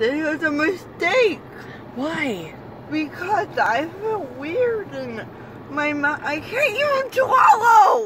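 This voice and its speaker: A whiny voice in a whiny tone talks at a very slow pace, the dry sound carrying no echo over loud background noise. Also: woman. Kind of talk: casual complaining chat. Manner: groggy, numb-mouthed, whiny post-anesthesia speech. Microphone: phone near.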